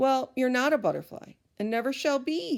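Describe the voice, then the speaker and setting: At a moderate pace, a put-on character voice sounds female and is pitched high. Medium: read story. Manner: self-assured.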